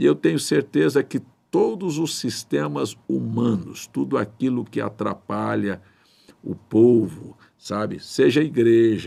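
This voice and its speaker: A man with a dark, mellow tone speaks at a very slow pace. His pitch sits in the medium range but swings very widely. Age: 60s. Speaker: pastor. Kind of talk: sermon. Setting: livestream.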